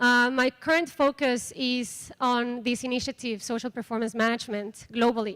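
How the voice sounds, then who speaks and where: In a Mexican accent, a woman with a high pitch speaks at a moderate pace and fairly even intonation, captured on a very clean recording with a silent background. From Mexico. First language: Spanish. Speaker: microfinance program coordinator. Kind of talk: conference workshop presentation.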